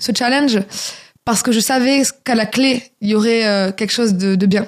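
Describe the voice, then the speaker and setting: A woman speaks in a southern French accent. Her pitch is fairly high, with ordinary pitch variation. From southern France, Toulouse. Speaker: singer and author. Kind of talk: radio interview. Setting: radio studio.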